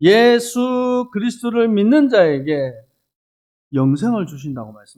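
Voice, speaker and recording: His high voice swings very widely in pitch as the man talks at a moderate pace. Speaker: missionary pastor. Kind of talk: sermon with consecutive interpretation. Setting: church.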